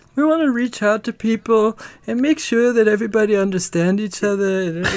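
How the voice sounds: This is a put-on character voice, nasal and fairly high in pitch. It moves at a fairly quick pace.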